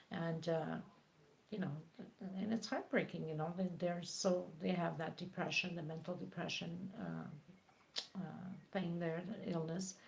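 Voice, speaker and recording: A woman with a non-native accent speaks at a fairly low pitch with fairly even intonation. She leaves long, frequent pauses, and room echo can be heard. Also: fairly slow pace. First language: not English. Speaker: crochet tutorial creator. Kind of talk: live stream chat. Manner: halting.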